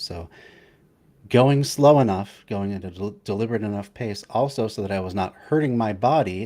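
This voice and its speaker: A man with ordinary pitch variation, in a very clean recording against a silent background. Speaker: streamer reacting to a video. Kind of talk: casual chat. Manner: fast, rushed with many fillers.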